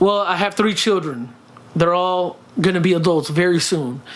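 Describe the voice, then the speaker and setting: A man with a high pitch talks at a moderate pace with ordinary pitch variation. Audible room echo surrounds his voice. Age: 30s. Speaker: vlogger and fitness journey creator. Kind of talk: casual vlog Q&A. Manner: speaks from the throat, friendly tone; halting, many fillers and repeats.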